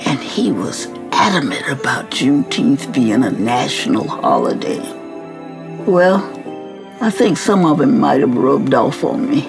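A woman at a fairly slow pace over clear music in the background. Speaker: activist. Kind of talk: storytelling message to students. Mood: warm, earnest storytelling. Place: home room.

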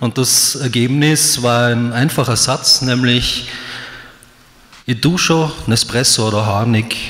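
With light background noise behind him, a man's speech shows lively intonation. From Graz, Austria. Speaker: poetry slammer. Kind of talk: stage talk to audience. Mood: wry, humorous. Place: hall. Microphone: handheld.

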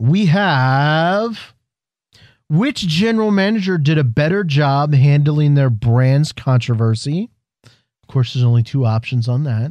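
Lively intonation at a fairly slow pace, in a dry sound with no echo and a quiet background. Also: man. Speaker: wrestling podcast co-host. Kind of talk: casual chat. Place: studio. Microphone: studio mic.

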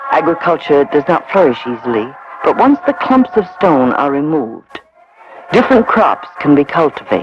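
Clear music plays in the background of this dry recording with no echo. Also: man, high pitch for a man, moderate pace. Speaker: documentary narrator. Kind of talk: documentary narration. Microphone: old recording.

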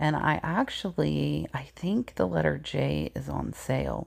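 Her voice is low for a woman, with vocal fry and a slightly husky edge, moving at a fairly slow pace with ordinary pitch variation.

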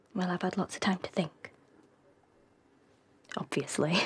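A woman uses a put-on character voice with a husky, rough edge, fairly low pitch, ordinary pitch variation and a fairly slow pace.

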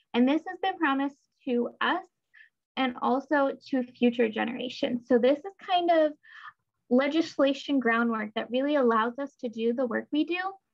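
Against a quiet background, a woman with a high pitch and ordinary pitch variation speaks at a moderate pace. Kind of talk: webinar presentation. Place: home room. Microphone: webcam.

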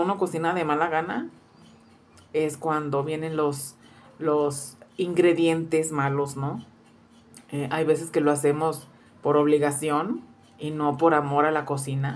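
A woman with a very deep, low pitch speaks at a fairly slow pace with fairly even intonation and long, frequent pauses. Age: 40s. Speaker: cooking youtuber. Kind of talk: casual vlog introduction. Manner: halting with many fillers. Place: kitchen. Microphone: phone near.

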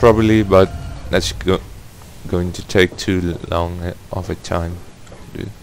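Over noticeable background noise, a man speaks at a very deep, low pitch and a fairly slow pace, with long, frequent pauses. His intonation is fairly even, while his loudness swings widely. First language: not English. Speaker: gaming YouTuber. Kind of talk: gameplay commentary. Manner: hesitant, awkward.

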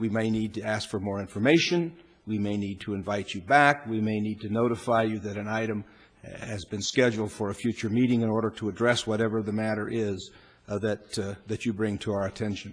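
Fairly quick and fairly even in intonation, a man speaks in a fairly low voice. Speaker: presiding council official. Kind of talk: formal meeting procedure announcement. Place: hall.

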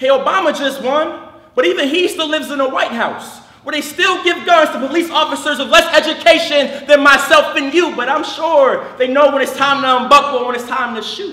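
A raised, projected voice at a moderate pace shows ordinary pitch variation and big swings in loudness, with audible room echo. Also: man. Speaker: slam poet. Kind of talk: slam poetry performance. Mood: passionate, protesting. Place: stage.

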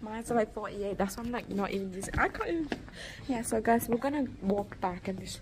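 A woman speaks at a fairly quick pace with medium pitch and ordinary pitch variation. Noticeable background noise sits behind her. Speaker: vlogger. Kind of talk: casual vlog chat. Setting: airport. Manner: soft-spoken. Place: station. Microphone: phone near.

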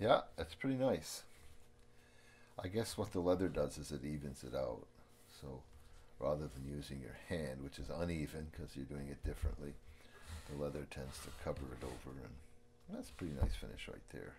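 A man speaks at a moderate pace in a very deep, low voice with vocal fry, ordinary pitch variation, big swings in loudness and long, frequent pauses over light background noise. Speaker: amateur cigar roller. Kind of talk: casual talk while doing a task (unintentional ASMR).

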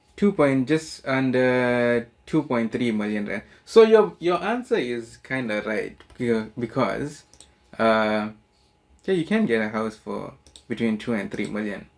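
The speech moves at a very slow pace with lively intonation. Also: man. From South Africa, Durban. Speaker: YouTuber. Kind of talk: reaction video casual chat. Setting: home recording with relative. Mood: relaxed, smiling. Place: home room.

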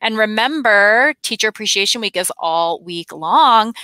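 Against a quiet background, a woman's bright, sharp tone comes through dry with no echo. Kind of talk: school announcements. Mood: warm and cheerful. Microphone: headset.

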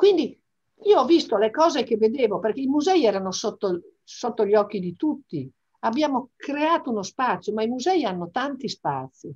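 A woman at a fairly high pitch with very wide pitch swings, talking at a moderate pace against a quiet background. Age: 60s. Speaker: business executive and association vice president; interviewee. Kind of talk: interview. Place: home room. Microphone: video call.

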